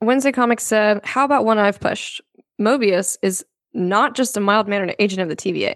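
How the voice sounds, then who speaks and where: A woman of medium pitch has a plain, everyday voice, talking at a fairly quick pace with ordinary pitch variation in a dry, close sound with no echo. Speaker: podcast co-host. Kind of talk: casual chat.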